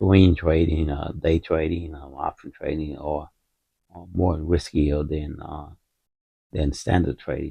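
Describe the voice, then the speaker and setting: Speaking at a fairly slow pace, a man has a very deep, low voice that is somewhat breathy. His intonation is monotone and flat. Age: 60s. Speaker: retired stock trader and finance channel host. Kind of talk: casual market commentary. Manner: halting, many fillers and repetitions.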